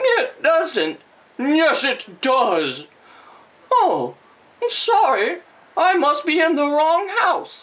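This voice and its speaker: In a put-on character voice, a female-sounding speaker talks at an extremely high pitch and a very slow pace, with long, frequent pauses. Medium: read story.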